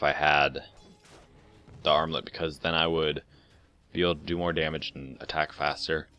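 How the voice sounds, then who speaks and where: A man's very deep, low voice at a moderate pace with music in the background. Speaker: gaming commentator. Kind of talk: post-game commentary. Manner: mumbling; hesitant, many fillers.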